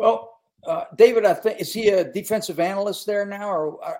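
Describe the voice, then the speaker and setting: Here a man speaks with an American accent at a high pitch. His pace is fairly quick. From West Virginia. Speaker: former college football coach. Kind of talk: casual chat.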